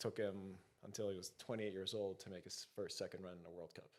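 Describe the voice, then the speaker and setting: A man's fairly low, flat monotone at a fairly quick pace. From Greece. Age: 30s. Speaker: alpine ski racer. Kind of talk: podcast interview.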